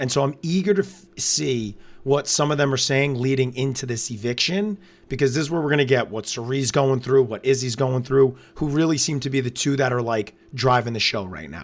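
A loud man at medium pitch with ordinary pitch variation, talking at a fairly quick pace on a very clean recording with a silent background. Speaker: reality TV podcast co-host. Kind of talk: casual live-stream recap chat.

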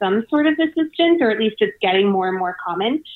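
A woman with a fairly high pitch and an ordinary speaking voice, in an American accent. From US South (Savannah, Georgia). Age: 20s. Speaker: financial journalist. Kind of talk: casual interview.

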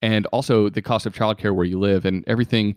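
A man with an unremarkable speaking voice talks at a fairly quick pace, his pitch fairly low. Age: 30s. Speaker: radio host and finance podcaster. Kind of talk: casual interview chat.

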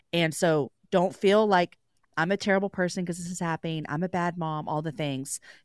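On a very clean recording with a silent background and a dry, close sound with no echo, a woman in an unremarkable speaking voice talks at a moderate pace with a fairly low pitch and fairly even intonation. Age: 40s. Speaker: podcast host. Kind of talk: radio interview.

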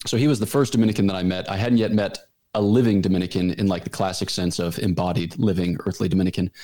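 On a very clean recording with a silent background, a man with an American accent speaks very fast at a fairly low pitch in a dark, mellow tone. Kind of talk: casual interview. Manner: deadpan.

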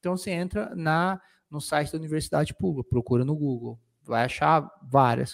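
Speaking at a moderate pace in an unremarkable speaking voice, a man shows ordinary pitch variation in a very clean recording with a silent background. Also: fairly high pitch for a man. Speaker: podcast co-host, lawyer. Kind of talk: casual chat.

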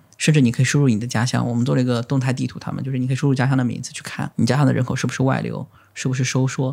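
Over noticeable background noise, a man speaks at a very fast pace, his medium-pitched voice fairly even in intonation. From China, Zhejiang (Lishui). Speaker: photographer. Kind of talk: casual interview chat.

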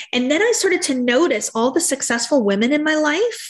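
A woman's high voice at a moderate pace, with very wide pitch swings. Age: 30s. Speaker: entrepreneur and body positivity advocate. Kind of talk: interview, personal story.

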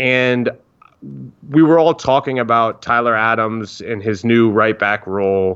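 Against a quiet background, a man with an American accent and an ordinary speaking voice talks fairly slowly at medium pitch with ordinary pitch variation. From Northern Virginia, US (DC area). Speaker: soccer journalist. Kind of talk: interview.

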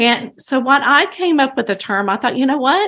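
A woman with a Texan accent on a very clean recording with a silent background. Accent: Texan American. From Texas. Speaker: psychic medium. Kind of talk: interview. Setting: studio.

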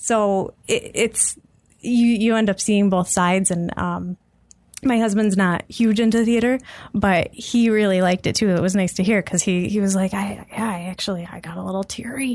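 Speaking at a moderate pace with fairly even intonation, a woman with a normal speaking voice and a medium pitch is heard on a very clean recording with a silent background. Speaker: guest with theater degree, ops analyst. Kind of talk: casual chat. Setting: studio.

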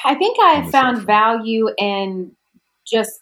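With ordinary pitch variation, a woman speaks at a fairly high pitch in an ordinary speaking voice. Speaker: branding coach. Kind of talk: casual chat.

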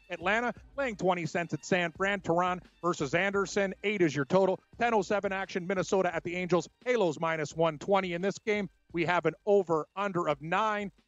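Dry and close with no echo, a high-pitched man speaks with fairly even intonation while music plays in the background. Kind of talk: rapid-fire odds announcer reading lines. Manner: fast, clipped, numbers rattled off, formal.

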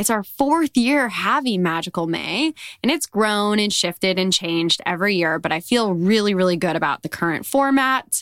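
A woman with an unremarkable speaking voice talks at a moderate pace with lively intonation, recorded very cleanly against a silent background in a dry, close sound with no echo. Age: 30s. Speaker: podcast host. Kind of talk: casual personal monologue. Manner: gentle, reflective.

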